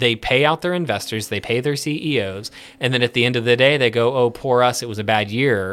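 A man in an American accent with a normal speaking voice, medium pitch, ordinary pitch variation, and a fairly quick pace, on a very clean recording with a silent background. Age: 30s. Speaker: licensed professional counselor. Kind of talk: casual chat.

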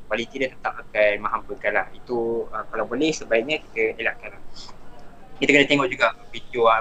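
Amid noticeable background noise, the speaker talks at a fairly quick pace with fairly even intonation. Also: man, medium pitch for a man. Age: 20s. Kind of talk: casual chat. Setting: live online stream. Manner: relaxed, mixes English words.

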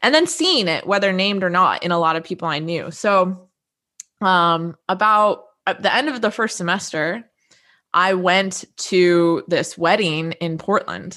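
A woman with an American accent and a normal speaking voice talks at a fairly slow pace and medium pitch, with ordinary pitch variation. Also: quiet background. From US. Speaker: graduate student. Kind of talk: casual interview. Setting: video call.

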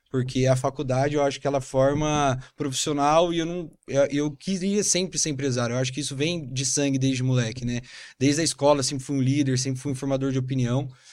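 On a very clean recording with a silent background, a man with a São Paulo accent speaks fairly quickly at a fairly high pitch, his intonation fairly even. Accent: Paulistano Brazilian Portuguese. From São Paulo, Brazil. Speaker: entrepreneur. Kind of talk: casual interview.

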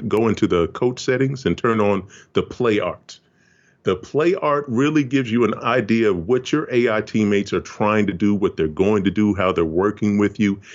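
A man talks in an ordinary speaking voice at a fairly low pitch. He keeps a moderate pace and ordinary pitch variation. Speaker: video game producer. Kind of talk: casual interview.

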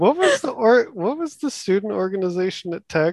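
A man at a moderate pace with lively intonation, in a dry, close sound with no echo. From Texas. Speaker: former housemate, works on construction projects. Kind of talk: casual chat.

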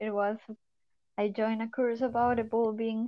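With a Spanish accent, a woman speaks in a fairly high pitch. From Colombia. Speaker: spiritual course participant. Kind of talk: casual chat.

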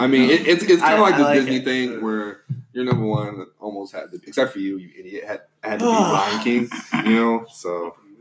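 An ordinary speaking voice moves at a moderate pace, with lively intonation and big swings in loudness. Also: man, medium pitch for a man. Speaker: podcast guest.

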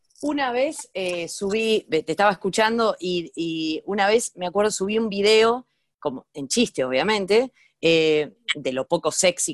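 A woman speaks at a fairly slow pace in an unremarkable speaking voice. The sound is dry and close with no echo, and the background is quiet. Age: 40s. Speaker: comedian and online video creator. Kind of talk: casual interview chat. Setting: remote call.

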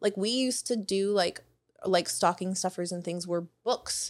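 A plain, everyday voice from a woman, medium in pitch with ordinary pitch variation, at a fairly slow pace. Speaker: podcast host. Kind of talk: casual chat.

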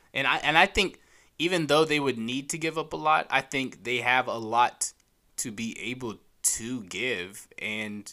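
A bright, sharp tone with lively intonation at a fairly slow pace, on a very clean recording with a silent background. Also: man. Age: 20s. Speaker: sports podcast co-host. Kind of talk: casual chat.

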